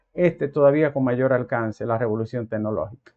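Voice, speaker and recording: At a fairly quick pace, a man speaks with ordinary pitch variation over a quiet background. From Dominican Republic. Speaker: commentator. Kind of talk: monologue. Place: home room. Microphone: lapel.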